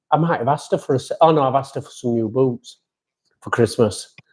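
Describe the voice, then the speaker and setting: A man talks in a Yorkshire accent. His pace is fairly quick. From Yorkshire, England. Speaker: amateur motorcycle racer and podcast host. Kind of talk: casual chat. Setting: live stream.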